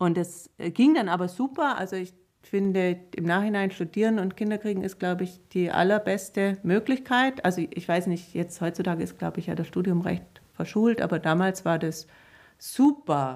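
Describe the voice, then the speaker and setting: At a moderate pace, a woman speaks in a normal speaking voice at a medium pitch, with ordinary pitch variation. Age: 50s. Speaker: children's book author. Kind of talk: casual interview.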